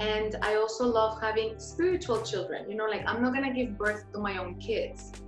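A woman talks at a moderate pace with hardly any pauses. Clear music plays behind her, and room echo is audible. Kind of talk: interview answer. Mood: warm, cheerful. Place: home room. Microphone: video call.

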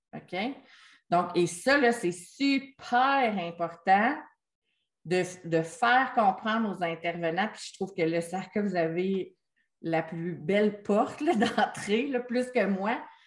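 Lively intonation marks a woman's very slow delivery. Long, frequent pauses run through it. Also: medium pitch for a woman. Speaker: special education consultant. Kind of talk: online meeting discussion. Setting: video call.

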